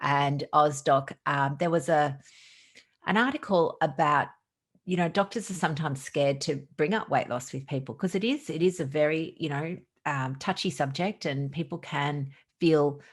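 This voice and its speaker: A woman with an Australian accent speaks very deep and low at a moderate pace, with ordinary pitch variation and a quiet background. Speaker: doctor. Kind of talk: podcast interview. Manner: animated.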